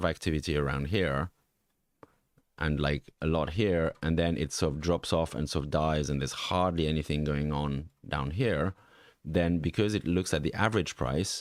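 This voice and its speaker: A man with a slight Swiss French accent speaks at a moderate pace in a very deep, low voice with vocal fry and ordinary pitch variation. It is a very clean recording with a silent background. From French-speaking Switzerland. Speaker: NFT market analyst. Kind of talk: live stream market review. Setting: live stream from home. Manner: halting, many fillers.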